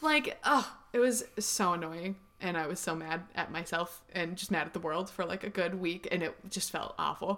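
A loud woman's voice with an American accent, bright and sharp in tone, medium in pitch with ordinary variation, at a moderate pace and with hardly any pauses. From Northern California, Marin County. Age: 20s. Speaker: singer. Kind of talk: casual chat.

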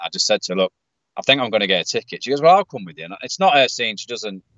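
Someone with a British accent speaks at a very fast pace. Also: man. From UK. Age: 40s. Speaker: metal fan, podcast patron. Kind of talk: casual chat. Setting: in a car.

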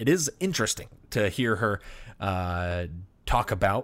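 The recording is very clean, with a silent background. A man speaks at a fairly slow pace with lively intonation. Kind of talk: theological monologue.

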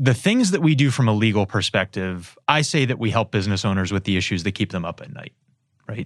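Talking at a very fast pace, a man with an American accent has a fairly low pitch and lively intonation. The sound is dry and close with no echo, in a very clean recording with a silent background. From Erie, Pennsylvania. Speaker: business lawyer, law firm founder. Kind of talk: interview.

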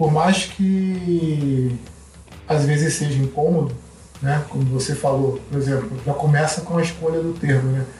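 Recorded with audible room echo and noticeable background noise, a man speaks at a fairly slow pace in a fairly high voice. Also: fairly even intonation. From Brazil, Rio de Janeiro (West Zone). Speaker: sociologist and mountaineer. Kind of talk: casual interview.

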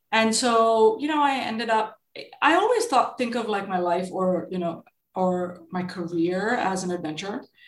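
A woman with a somewhat breathy voice and medium pitch speaks at a moderate pace with ordinary pitch variation. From India. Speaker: venture capitalist. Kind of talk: interview.

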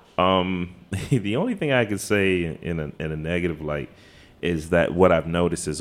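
A man with an American accent and a very deep, low pitch speaks at a moderate pace. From Washington, DC, Trinidad-born. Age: 50s. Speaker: graphic artist. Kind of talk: casual chat. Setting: hotel lobby, live recording.

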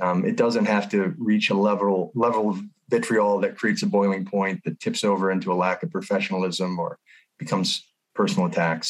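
A very fast man with an American accent, on a very clean recording with a silent background. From US Midwest, North St. Louis County, Missouri. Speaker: school board candidate. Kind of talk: interview.

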